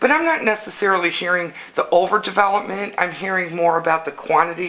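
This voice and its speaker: A woman with an American accent speaks very fast in a fairly low voice with fairly even intonation. Noticeable background noise runs behind her. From Illinois. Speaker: local council candidate. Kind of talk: interview.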